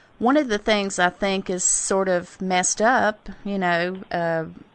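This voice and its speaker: At a fairly slow pace, a woman with a Southern US accent talks at a medium pitch with ordinary pitch variation against a quiet background. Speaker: interview show host.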